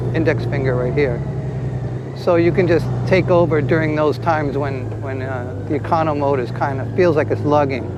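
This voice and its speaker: The voice moves at a moderate pace with fairly even intonation. Audible room echo and noticeable background noise fill the recording. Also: man. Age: 60s. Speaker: motorcycle vlogger. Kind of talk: casual ride-along review. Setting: riding a motorcycle outdoors. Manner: halting, many fillers and restarts.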